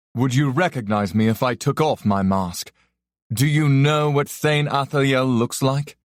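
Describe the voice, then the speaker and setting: A man uses a put-on character voice at a medium pitch, resonant and at a moderate pace. The recording is very clean, with a silent background. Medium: read story. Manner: calm, measured, faintly amused.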